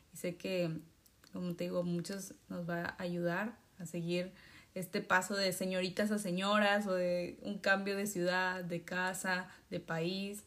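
In a very clean recording with a silent background, a woman speaks at a medium pitch. Her delivery is fairly slow, with monotone, flat intonation. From Mexico. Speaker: podcast host. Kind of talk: interview.

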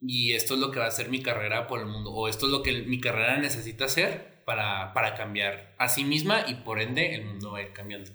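Against noticeable background noise and audible room echo, a man of medium pitch talks at a fairly quick pace with hardly any pauses and ordinary pitch variation. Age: 20s. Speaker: podcast co-host. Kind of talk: casual chat.

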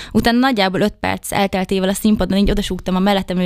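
Using a plain, everyday voice, a woman speaks at medium pitch with fairly even intonation. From Hungary, Debrecen. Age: 20s. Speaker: beauty pageant contestant. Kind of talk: interview. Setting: studio.

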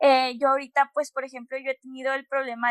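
A woman speaks with a high pitch. The sound is dry and close, with no echo. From Monterrey, northern Mexico. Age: 20s. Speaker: podcast host. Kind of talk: interview.

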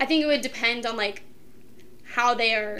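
A fairly high-pitched woman at a moderate pace with fairly even intonation, over noticeable background noise. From Ohio, Kent area. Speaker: college student. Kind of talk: casual chat.

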